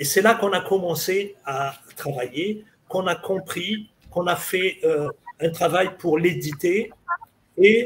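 This man's voice is high-pitched with lively intonation. He speaks at a very slow pace. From Algeria, Kabylie (Béjaïa region). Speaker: mathematics professor and historian. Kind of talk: interview, lecture-style explanation.

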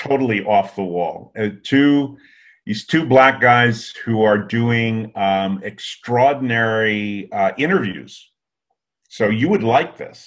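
A man's words come at a very slow pace, his pitch rising and falling in an ordinary way. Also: quiet background. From US Northeast. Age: 70s. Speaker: recruiting industry consultant; interview guest. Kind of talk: interview. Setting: video call. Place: home room. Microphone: webcam.

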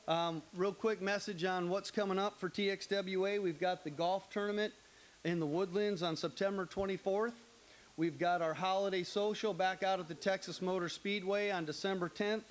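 A high-pitched man at a moderate pace, with fairly even intonation. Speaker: association host. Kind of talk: welcome speech. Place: studio. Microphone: handheld.

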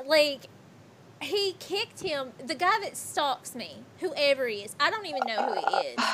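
A woman's high voice with very wide pitch swings, at a fairly slow pace, over noticeable background noise. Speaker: streamer. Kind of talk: casual chat. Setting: live stream. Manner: animated.

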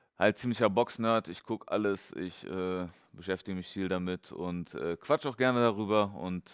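Against a quiet background, a man speaks at a moderate pace in a very deep, low pitch with ordinary pitch variation. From western Germany, Dortmund area; western Germany. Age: 30s. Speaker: professional boxer; guest. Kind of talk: casual interview. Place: gym. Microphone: headset.

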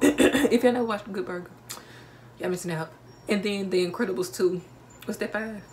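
A woman at medium pitch, with light background noise behind her. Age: 19. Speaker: vlogger. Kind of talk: casual talk to camera. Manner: chatty, animated. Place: home room. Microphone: phone near.

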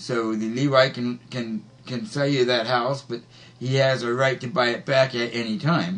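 An unremarkable speaking voice with an American accent, at a moderate pace. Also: man, medium pitch for a man, fairly even intonation. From US Midwest, Missouri. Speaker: Bible study teacher. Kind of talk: Bible study discussion. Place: home room. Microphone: webcam.

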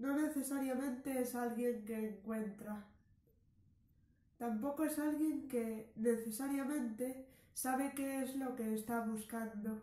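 A woman's high-pitched voice at a very slow pace, with fairly even intonation and audible room echo. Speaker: storyteller. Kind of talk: story reading. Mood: calm, reflective narration. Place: home room. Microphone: camera far.

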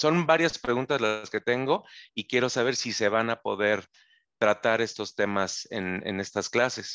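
At a fairly slow pace, a man speaks in an unremarkable speaking voice with ordinary pitch variation against a quiet background. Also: medium pitch for a man. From Mexico City. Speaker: musician. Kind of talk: question in an online class. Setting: video call.

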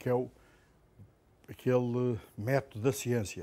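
The man's voice carries a dark, mellow tone. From Portugal. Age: 60s. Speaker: professor. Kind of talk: lecture. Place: classroom. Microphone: lapel.

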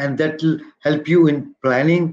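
A man at a fairly slow pace with fairly even intonation, over a quiet background. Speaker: presenter. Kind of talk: lecture. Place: office. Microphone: webcam.

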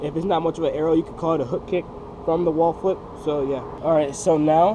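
Against noticeable background noise, a man talks at a fairly quick pace in a high pitch. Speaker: parkour and freerunning instructor. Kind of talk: casual tutorial talk to camera.

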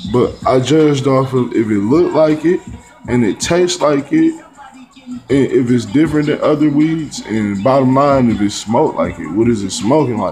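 A man speaks with ordinary pitch variation. Faint music plays in the background. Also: moderate pace. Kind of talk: casual vlog chat. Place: home room. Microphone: phone near.

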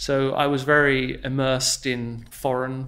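The speaker is a man. He talks with an English accent. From southern England. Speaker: investment portfolio manager. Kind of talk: interview. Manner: formal.

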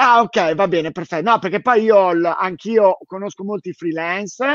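Set against a quiet background, a man with a high pitch speaks with ordinary pitch variation, the sound dry with no echo. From Italy, Milan. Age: 40s. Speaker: bookshop owner and live-stream host; live-stream host. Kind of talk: casual interview. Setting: live stream from the bookshop. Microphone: webcam.

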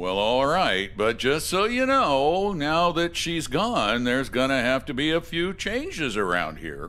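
A put-on character voice moves at a slow pace with very wide pitch swings and a bright, sharp tone. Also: man, medium pitch for a man.

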